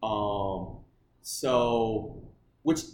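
This man speaks with an American accent. His voice is somewhat breathy. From Michigan, US (Okemos). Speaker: podcast guest. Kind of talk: casual chat.

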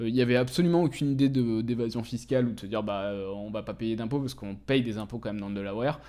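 Rushing at a very fast pace with hardly any pauses, the man has a dark, mellow tone at medium pitch and ordinary pitch variation, on a very clean recording with a silent background. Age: 20s. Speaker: entrepreneur. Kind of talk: interview. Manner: hesitant, many filler words.

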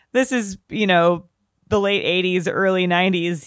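A woman speaks at a moderate pace in an ordinary speaking voice, her medium pitch moving with ordinary variation, on a very clean recording with a silent background. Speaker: podcast co-host. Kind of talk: casual chat.

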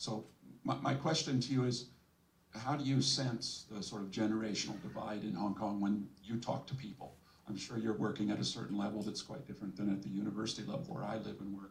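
Speaking at a fairly quick pace, a man with a fairly low pitch and vocal fry shows ordinary pitch variation. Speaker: audience member, academic.

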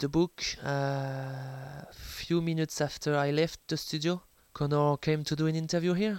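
At a fairly slow pace, a man with a French accent speaks at a fairly high pitch with fairly even intonation in a very clean recording over a silent background. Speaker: sports journalist and author. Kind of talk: interview. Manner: hesitant, many fillers.

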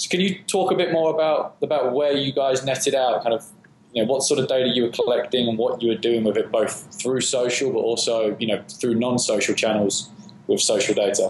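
Speaking at a fairly quick pace with an English accent, a man keeps his loudness very even. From England. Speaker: podcast co-host. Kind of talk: interview.

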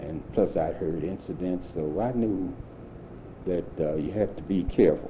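A man's very deep, low, somewhat breathy voice with an American accent, ordinary pitch variation and a moderate pace. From St. Louis, Missouri. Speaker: war veteran. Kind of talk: 1990s oral history interview, elderly veteran recounting wartime life story. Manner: plain reflective storytelling.

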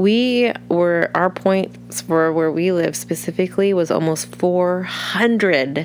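Very slowly, a woman speaks with an American accent. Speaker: podcaster and mother. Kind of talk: personal audio diary with reflection and prayer. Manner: casual, reflective.

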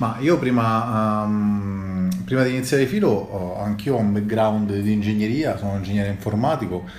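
A man talks at a moderate pace with hardly any pauses, his pitch fairly low with ordinary variation. The room echo is audible. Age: 30s. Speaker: startup founder and CEO. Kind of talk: interview.

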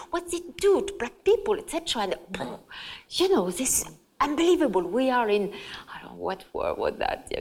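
A woman with a French accent, speaking at a fairly slow pace with long, frequent pauses. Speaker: journalist and author. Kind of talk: public talk interview. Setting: stage with audience.

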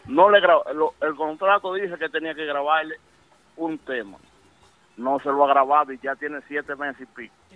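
With a plain, everyday voice, a man of fairly high pitch talks at a moderate pace with ordinary pitch variation. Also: big swings in loudness. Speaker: music industry insider. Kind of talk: casual chat. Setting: phone call.

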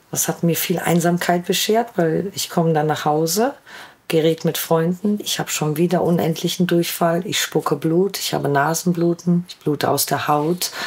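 The speaker has an unremarkable speaking voice, a moderate pace, and fairly even intonation. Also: woman, fairly low pitch for a woman. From Ruhr area, Germany. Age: 40s. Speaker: vaccine injury sufferer. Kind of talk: personal testimony.

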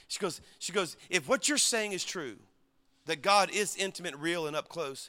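An animated man with a Southern US accent, a high pitch and a bright, sharp tone, at a moderate pace with ordinary pitch variation on a very clean recording with a silent background. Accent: Southern US (Cajun-tinged). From Louisiana. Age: 50s. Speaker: pastor. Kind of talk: sermon.

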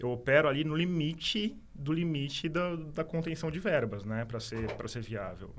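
The man's voice carries ordinary pitch variation. Audible room echo surrounds it. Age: 40s. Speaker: journalist and podcaster. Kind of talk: casual interview.

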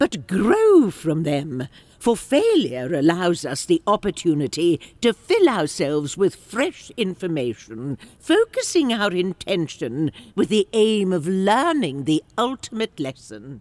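A woman speaks at medium pitch and a fairly slow pace, with very wide pitch swings. The sound is dry and close, with no echo. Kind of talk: audio drama acting. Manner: measured, wise, stern but cheeky.

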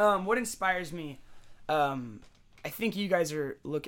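Very wide pitch swings, with an American accent. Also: man. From San Jose, California. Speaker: musician. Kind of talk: casual chat.

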